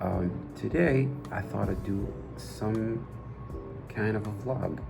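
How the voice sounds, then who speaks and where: With music playing behind him and audible room echo, a man speaks at a fairly low pitch with lively intonation. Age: 20s. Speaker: gaming youtuber. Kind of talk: casual vlog talk.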